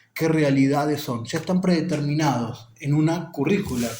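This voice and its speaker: A fairly high-pitched man speaking at a fairly slow pace, with audible room echo. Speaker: teacher explaining an education text. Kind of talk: lecture.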